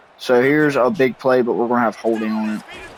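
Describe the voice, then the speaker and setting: Speech moves at a fairly quick pace with ordinary pitch variation. Background noise is noticeable. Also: man. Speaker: gaming youtuber. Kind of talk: gameplay commentary. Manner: low-energy, subdued.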